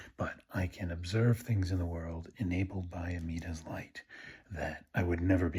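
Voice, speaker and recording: Quiet and somewhat breathy, a man speaks with very deep, low pitch and fairly even intonation. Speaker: Buddhist video blogger. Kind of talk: casual monologue. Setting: at home at night. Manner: quiet, low-toned; halting, many fillers.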